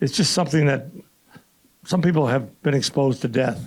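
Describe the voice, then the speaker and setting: Somewhat breathy, a man speaks at a fairly high pitch with ordinary pitch variation. His pace is moderate. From Canada. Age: 80s+. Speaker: retired baseball pitcher. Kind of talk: panel discussion. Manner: halting.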